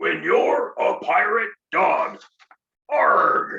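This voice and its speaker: A man puts on a character voice at an extremely high pitch. It comes out gruff. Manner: gruff, piratical.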